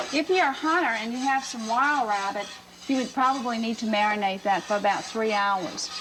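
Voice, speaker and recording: Over noticeable background noise, a woman with a South Louisiana accent talks at a fairly quick pace in a fairly high pitch, with ordinary pitch variation. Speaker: chef. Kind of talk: cooking show instruction.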